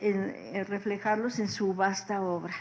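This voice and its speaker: A woman speaks at a fairly slow pace, her pitch fairly high. Her intonation stays monotone and flat. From northern Mexico, Chihuahua. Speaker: seminar moderator. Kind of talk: speaker introduction.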